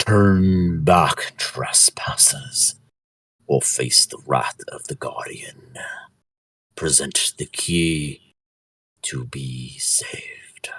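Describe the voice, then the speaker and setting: Using a put-on character voice, a man speaks very slowly at a very deep, low pitch, with long, frequent pauses and big swings in loudness, in a dry, close sound with no echo. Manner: booming and menacing.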